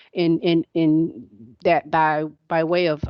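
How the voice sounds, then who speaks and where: A woman talks at a very deep, low pitch. The sound is dry and close with no echo, over a quiet background. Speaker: instructional technology trainer. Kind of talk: training webinar.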